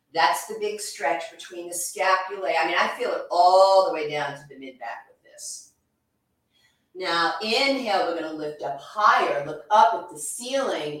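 A woman of medium pitch with an American accent speaks with lively intonation and big swings in loudness, with audible room echo. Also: moderate pace. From New York. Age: 60s. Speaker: yoga instructor and massage therapist. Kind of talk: guided exercise instruction.

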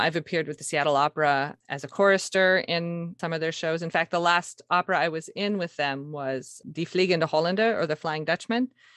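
With an American accent and an unremarkable speaking voice, a woman speaks at a fairly quick pace and fairly low pitch, her dry, close sound having no echo over a quiet background. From Montana, US. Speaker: classical singer. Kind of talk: interview.

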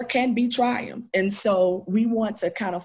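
A woman with an American accent, somewhat breathy and medium-pitched, at a moderate pace with ordinary pitch variation. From Nashville, Tennessee (US South). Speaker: minister and community center leader. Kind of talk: interview.

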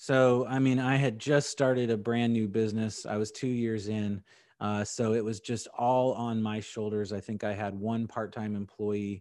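A man with an American accent talks at a fairly slow pace and medium pitch in a normal speaking voice. The recording is very clean, with a silent background. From San Diego and Indianapolis, US. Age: 40s. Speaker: insurance agency owner. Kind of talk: podcast interview.

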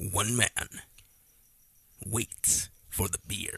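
A man puts on a character voice, fairly low in pitch, with a dry, close sound and no echo. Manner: dramatic.

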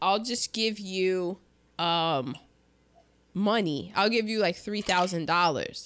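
A woman's medium-pitched voice at a very slow pace, long and frequent pauses, ordinary pitch variation, on a very clean recording with a silent background. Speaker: podcast host. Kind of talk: casual chat. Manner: chatty, jokey.

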